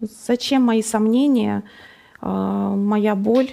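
Her tone is dark and mellow, and her pitch fairly high. The woman's voice shows ordinary pitch variation. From Russia, Nizhny Novgorod. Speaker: guest sharing faith story. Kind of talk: testimony. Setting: studio.

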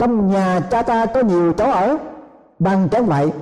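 Over noticeable background noise, a man speaks at a fairly slow pace. His intonation is lively. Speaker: preacher. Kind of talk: sermon. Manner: formal; earnest, measured.

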